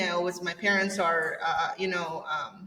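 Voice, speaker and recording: A woman's medium-pitched voice in a Spanish accent, monotone and flat, at a moderate pace with audible room echo. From El Salvador. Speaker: agency owner. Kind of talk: podcast interview. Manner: halting.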